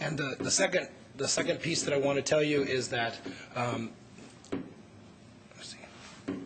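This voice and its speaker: Whispering at a moderate pace with long, frequent pauses, a man is heard with audible room echo. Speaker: conference panelist. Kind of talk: conference presentation. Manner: halting.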